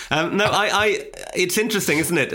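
A man's fairly rapid speech with clearly audible background noise. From northern England, Newcastle. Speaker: writer and podcaster on ghost stories. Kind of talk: casual interview chat.

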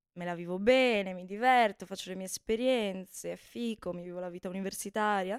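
In a dry, close sound with no echo, a woman has an unremarkable speaking voice at medium pitch with fairly even intonation. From Veneto, Italy (Bassano del Grappa). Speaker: former university student. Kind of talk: casual chat.

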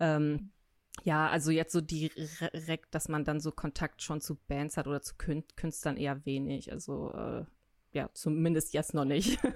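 In a dry, close, very clean recording with no echo and a silent background, a woman speaks with a very deep, low pitch. Her intonation is fairly even and her pace fairly slow. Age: 20s. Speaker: design student. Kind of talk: casual chat. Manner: hesitant, many fillers.

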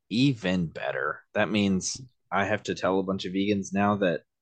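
A man's fairly low voice against a quiet background. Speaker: podcast host. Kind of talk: casual banter between friends. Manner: animated, enthusiastic.

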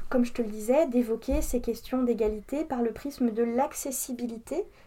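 The woman's high-pitched voice has a dark, mellow tone. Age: 30s. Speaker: entrepreneur and equality consultant. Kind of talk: interview. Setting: coworking space. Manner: hesitant with filler words.

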